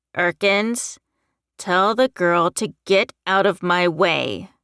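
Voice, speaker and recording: Using a put-on character voice, a woman with a medium pitch speaks at a very slow pace on a very clean recording with a silent background. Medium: read story. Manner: cold, contemptuous.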